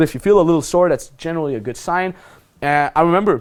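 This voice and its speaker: The man's tone is animated. He gets his words out at a very fast pace. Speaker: dating coach. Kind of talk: instructional talk. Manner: loud.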